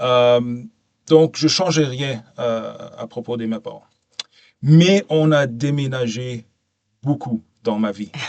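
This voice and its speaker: A man with a non-native accent speaks at medium pitch and a very slow pace, with ordinary pitch variation, long, frequent pauses, and big swings in loudness. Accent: non-native French, English-speaking. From Canada (Ontario/Quebec) and Abu Dhabi. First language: English (speaking French). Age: 40s. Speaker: podcast guest, safety professional. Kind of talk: interview conversation. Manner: hesitant, many fillers.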